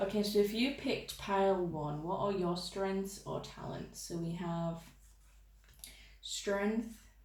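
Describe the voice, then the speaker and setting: With noticeable background noise and audible room echo, a woman speaks with ordinary pitch variation. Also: medium pitch for a woman, fairly slow pace. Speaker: tarot reader. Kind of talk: tarot reading. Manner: casual, chatty.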